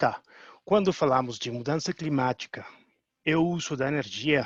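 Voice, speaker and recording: A man speaks at a moderate pace with a fairly high pitch and ordinary pitch variation. The sound is dry and close with no echo, over a quiet background. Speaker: technical manager at climate initiative. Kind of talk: webinar presentation.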